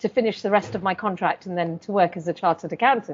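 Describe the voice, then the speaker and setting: A woman with a London accent and a medium-pitched voice. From South London, England. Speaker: chartered accountant and business adviser. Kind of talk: interview.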